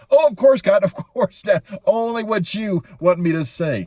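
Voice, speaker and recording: A man's put-on character voice, high-pitched, with very wide pitch swings, at a moderate pace. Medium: read story. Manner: wheedling, quick-tempered.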